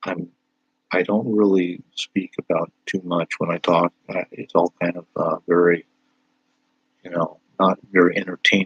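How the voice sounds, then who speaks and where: A man with a very deep, low pitch speaks in a flat monotone at a fairly slow pace, with long, frequent pauses, big swings in loudness and a dry, close sound with no echo. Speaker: content creator.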